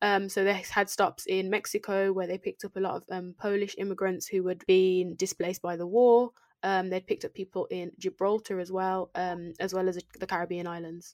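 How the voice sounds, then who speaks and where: A woman with a British accent at a fairly quick pace, monotone and flat, with hardly any pauses, in a dry, close sound with no echo. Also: medium pitch for a woman. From England. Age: 20s. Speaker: guest educator. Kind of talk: educational chat. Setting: remote recording with own microphones.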